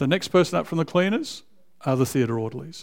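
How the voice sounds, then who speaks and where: Recorded very cleanly over a silent background, a man speaks at a fairly high pitch in an Australian accent. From Australia (raised in Canberra). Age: 60s. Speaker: visiting preacher. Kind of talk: sermon. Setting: church.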